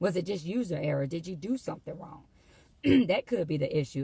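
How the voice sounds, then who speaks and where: A woman speaks with a somewhat breathy voice. Her pitch sits fairly low. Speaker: motivational speaker. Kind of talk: motivational talk. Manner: conversational.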